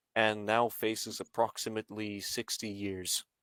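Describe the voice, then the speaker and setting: The pace is fairly slow, and the recording is very clean with a silent background. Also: man. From Scotland. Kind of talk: casual chat. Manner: halting.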